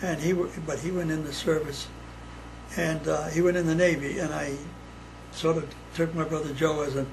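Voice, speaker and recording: With an American accent, a man speaks in a fairly high, monotone voice with flat intonation and long, frequent pauses, amid noticeable background noise and audible room echo. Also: moderate pace. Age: 80s+. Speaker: WWII navy veteran. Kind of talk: casual family interview. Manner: halting.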